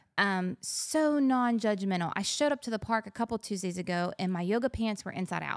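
A woman speaks fairly quickly in a plain, everyday voice at medium pitch, with lively intonation and hardly any pauses. The sound is dry and close, with no echo. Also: very clean recording, silent background. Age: 40s. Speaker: pastor's wife and mother. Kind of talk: casual chat.

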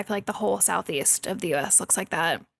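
Talking at a very fast pace, a woman uses vocal fry and ordinary pitch variation. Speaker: podcast host. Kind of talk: casual chat. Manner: valley girl speech.

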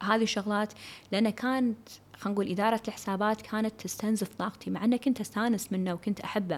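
A woman speaks in a Kuwaiti accent with fairly even intonation. The recording is very clean and the background silent. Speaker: podcast host and business consultant. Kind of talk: solo podcast talk. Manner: casual, code-switching with English.

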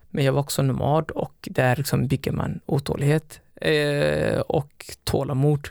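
A man with a Somali accent talks at a fairly slow pace. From Somalia, raised in Sweden from age 11. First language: Somali (speaking Swedish). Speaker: elite distance runner. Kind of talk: interview.

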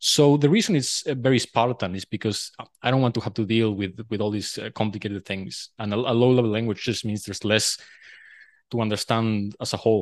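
With a Spanish accent, a man talks at a fairly quick pace and medium pitch, his intonation fairly even, the sound dry and close with no echo and a quiet background. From Uruguay. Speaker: programming language designer. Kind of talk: casual technical interview.

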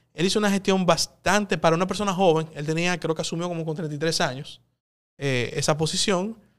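A man uses a plain, everyday voice at a fairly high pitch, with ordinary pitch variation and a fairly quick pace. The recording is very clean, with a silent background. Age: 30s. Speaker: politician, congressman. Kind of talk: interview.

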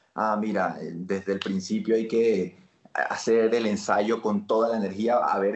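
This voice belongs to a man. It falls at a medium pitch. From Colombia, Barranquilla (Caribbean coast). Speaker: actor. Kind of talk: casual interview chat.

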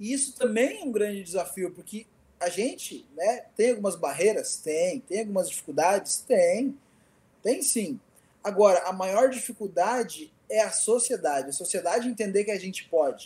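At a moderate pace, a man speaks in a high yet dark, mellow voice. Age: 20s. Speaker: blind IT instructor and pedagogy student. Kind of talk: casual interview chat.

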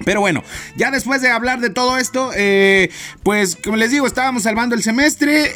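Words come very fast from a male speaker, with clear noise audible in the background. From Chiapas, Mexico. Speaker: podcast host, university student. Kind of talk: casual solo podcast monologue.

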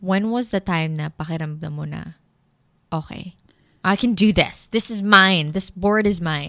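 With a Filipino accent, a woman talks at a fairly slow pace and a medium pitch, with ordinary pitch variation and a bright, sharp tone. Her loudness swings widely, and the recording is very clean with a silent background. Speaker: podcast host. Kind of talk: casual chat.

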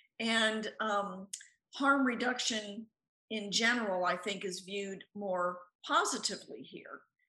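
With a bright, sharp tone and a fairly high pitch, a woman speaks at a fairly slow pace. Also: ordinary pitch variation. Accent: American. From US, Tucson, Arizona. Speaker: author and bereaved parent. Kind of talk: interview conversation.

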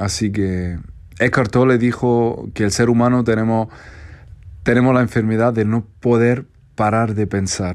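Speaking with an Andalusian accent, a man talks at a medium pitch with fairly even intonation. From Andalusia, Spain. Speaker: content creator. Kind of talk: advice monologue.

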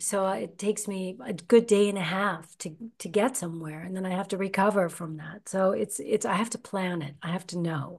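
A woman speaks at a moderate pace in a medium pitch, her somewhat breathy voice showing ordinary pitch variation and big swings in loudness. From United States. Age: 50s. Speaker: actress and podcast host. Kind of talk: interview. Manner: animated.

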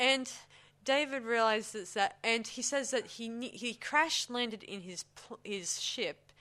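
A woman with a fairly high pitch speaks in a bright, sharp tone, her loudness swinging widely. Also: ordinary pitch variation, fairly slow pace. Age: 30s. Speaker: film review podcast host. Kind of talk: casual chat. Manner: halting.

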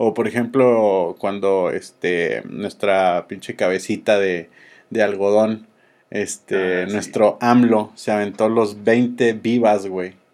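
A man with a Mexican accent, fairly low pitch, very slow pace and fairly even intonation against a quiet background. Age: 30s. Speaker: podcast host. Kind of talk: casual chat.

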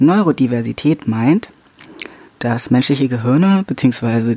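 Speaking at a very slow pace, a man uses a medium pitch. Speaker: podcast host. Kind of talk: solo educational monologue. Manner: halting, many filler sounds.

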